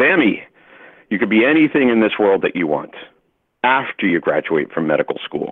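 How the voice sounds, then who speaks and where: Using a put-on character voice, a man speaks at a moderate pace in a booming, medium pitch. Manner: encouraging, fatherly.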